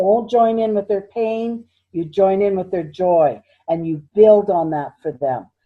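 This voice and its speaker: At a fairly slow pace, a woman of medium pitch uses ordinary pitch variation in a plain, everyday voice. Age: 60s. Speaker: minister and psychic healer. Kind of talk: interview.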